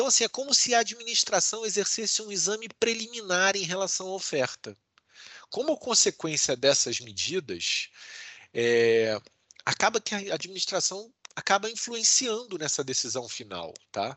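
Pitched high, a man talks at a moderate pace with very wide pitch swings. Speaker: law professor and lawyer. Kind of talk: interview.

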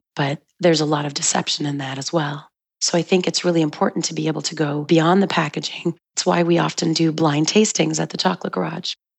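Very fast and very deep for a woman, her voice carries vocal fry and fairly even intonation. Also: hardly any pauses. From Montreal suburbs, Quebec. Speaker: chocolate shop founder. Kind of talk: interview.

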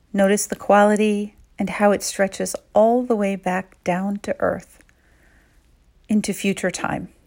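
A woman speaks at a fairly slow pace in a medium pitch, with a calm, gentle tone and monotone, flat intonation. Long, frequent pauses break her speech, and the recording is very clean with a silent background. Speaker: meditation guide. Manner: slow, calm and hushed, with short gentle directives separated by pauses for reflection; soothing and intimate, softly prompting questions to the listener's inner self.

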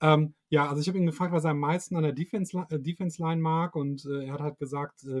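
This man's fairly high voice is somewhat breathy, moving at a fairly quick pace with ordinary pitch variation in a dry, close sound with no echo. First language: German. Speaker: fan podcast host and interviewer. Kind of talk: interview with live translation. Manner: halting, many fillers.

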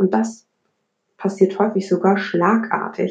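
Here a woman speaks at a medium pitch in a dark, mellow tone that is somewhat breathy. Her delivery is fairly slow, with monotone, flat intonation. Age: 20s. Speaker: podcast host. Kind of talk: solo monologue podcast. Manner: casual, many filler words.

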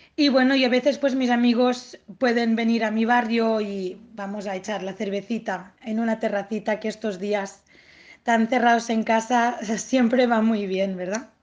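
Against a quiet background, a woman speaks with fairly high pitch and fairly even intonation. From Catalonia, Spain (Tortosa). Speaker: autoimmune disease patient. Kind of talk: interview. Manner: halting, with many repetitions.

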